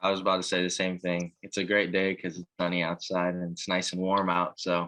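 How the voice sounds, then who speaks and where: A bright, sharp tone at a fairly quick pace, monotone and flat, with a dry, close sound with no echo and a quiet background. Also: man, very deep, low pitch for a man. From Hawaii. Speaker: college baseball player. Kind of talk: interview.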